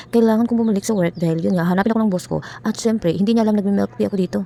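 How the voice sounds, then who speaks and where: Through noticeable background noise, a woman talks at a very fast pace. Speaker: vlogger. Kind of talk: vlog voice-over. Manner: soft-spoken.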